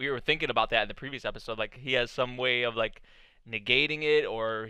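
A man speaks at a fairly quick pace with ordinary pitch variation. The sound is dry with no echo, over a quiet background. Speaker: anime reactor. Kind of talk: reaction commentary. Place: home room. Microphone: headset.

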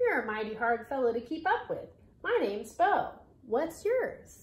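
With audible echo, a woman puts on a squeaky character voice at an extremely high pitch with very wide pitch swings. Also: moderate pace. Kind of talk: reading a children's story aloud. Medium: read story. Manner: eager, folksy. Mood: eager, friendly.

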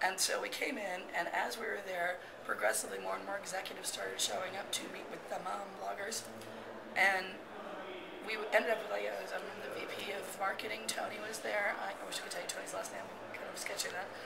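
Loud background noise fills the clip. The speech moves at a fairly quick pace. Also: woman. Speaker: interviewee. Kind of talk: interview answer. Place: hall.

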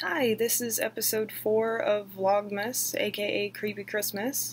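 A woman speaks with an American accent at a fairly high pitch. Her intonation is fairly even, with light background noise. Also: fairly slow pace. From southern United States. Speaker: horror story narrator. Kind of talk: casual intro to camera. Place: home room. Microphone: webcam.

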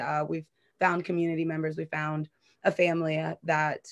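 A woman with an American accent uses a normal speaking voice at fairly low pitch and a moderate pace, in a dry, close sound with no echo. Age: 30s. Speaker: community activist. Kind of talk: interview.

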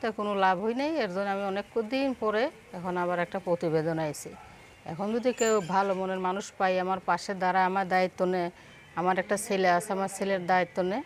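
A woman speaks in an ordinary speaking voice. Her medium pitch shows ordinary pitch variation. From Bangladesh, Jessore (Kaliganj). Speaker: single mother seeking a husband, seamstress. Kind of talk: interview.

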